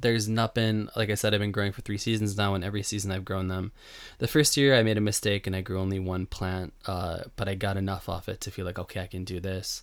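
A man's fairly low voice at a very fast pace on a very clean recording with a silent background. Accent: Western New York. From US, Buffalo, New York. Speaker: podcast host, home gardener. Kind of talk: casual solo podcast talk. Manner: conversational, many fillers and restarts.

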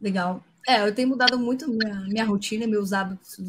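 A woman's somewhat breathy, medium-pitched voice with fairly even intonation. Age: 30s. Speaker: data engineering lead. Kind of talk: casual interview. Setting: online live stream.

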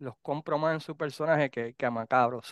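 A normal speaking voice from a man, fairly quick, fairly high-pitched, with ordinary pitch variation. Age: 50s. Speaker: podcast host. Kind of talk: casual chat.

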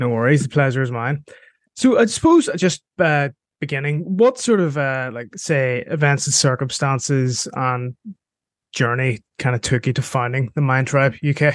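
Ordinary pitch variation marks a man talking at a fairly high pitch and a moderate pace. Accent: Northern Irish. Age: 20s. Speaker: podcast host. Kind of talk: interview.

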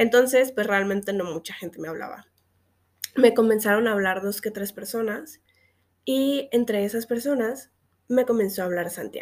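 A woman speaks with a fairly high pitch, keeping a moderate pace and ordinary pitch variation. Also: big swings in loudness. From Mexico, Xalapa, Veracruz. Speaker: podcast host, LGBT activist. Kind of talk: personal monologue podcast. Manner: casual, filler-heavy speech.

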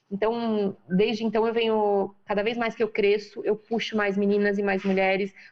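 A woman with a medium-pitched voice speaks at a moderate pace, barely pausing. Her intonation is monotone and flat, and her loudness stays very even. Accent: São Paulo. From Brazil, São Paulo (periphery, Freguesia do Ó). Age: 40s. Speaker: businesswoman and women's career mentor. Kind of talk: interview conversation.

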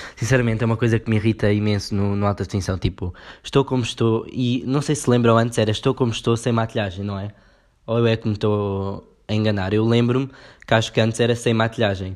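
Over a quiet background, a man with a European Portuguese accent and medium pitch speaks at a very fast pace with fairly even intonation. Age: 20s. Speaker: podcast host. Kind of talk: casual solo commentary.

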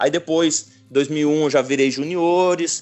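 Here a man is talking. The intonation is fairly even. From Paraná, Brazil (gaúcho family). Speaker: professional football goalkeeper. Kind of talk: casual interview chat. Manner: halting, many repetitions.

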